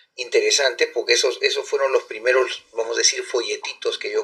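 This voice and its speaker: This man's voice sits at an extremely high pitch, delivered in a flat monotone. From Peru, Callao. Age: 60s. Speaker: ufologist. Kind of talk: interview. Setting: live stream.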